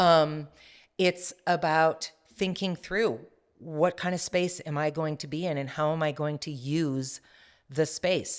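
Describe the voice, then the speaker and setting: Very slow in pace, a woman speaks with a very deep, low pitch and fairly even intonation on a very clean recording with a silent background. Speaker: executive presence coach. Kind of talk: interview. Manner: trained, controlled delivery.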